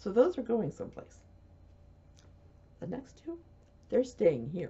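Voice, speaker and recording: A woman with an American accent, fairly high pitch, vocal fry, very wide pitch swings and a fairly slow pace. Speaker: knitting podcaster. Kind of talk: casual video podcast chat. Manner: soft-spoken.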